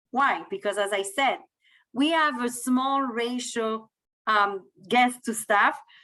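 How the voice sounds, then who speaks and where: Speaking at a fairly slow pace, a woman with a French accent has a fairly high pitch and a bright, sharp tone. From France. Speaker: cruise line sales manager. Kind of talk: sales presentation.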